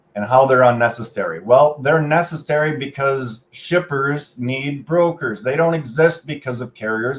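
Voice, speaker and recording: Speaking with a Canadian accent, a man has a fairly high pitch and ordinary pitch variation. His voice is somewhat breathy. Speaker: freight broker trainer and channel host. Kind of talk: casual livestream commentary.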